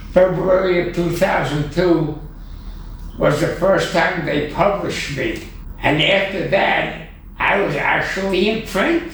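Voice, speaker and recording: Amid noticeable background noise, a man with a high voice speaks at a very slow pace with fairly even intonation. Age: 80s+. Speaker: computer artist. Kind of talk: interview answer.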